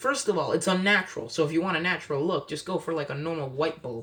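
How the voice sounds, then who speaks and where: A man speaks in an animated tone. His voice is raised and projected. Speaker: pet care youtuber. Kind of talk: tutorial. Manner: casual, animated.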